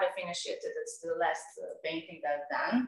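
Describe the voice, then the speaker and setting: A woman with a Serbian accent. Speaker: tennis coach and amateur painter. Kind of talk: interview. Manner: halting.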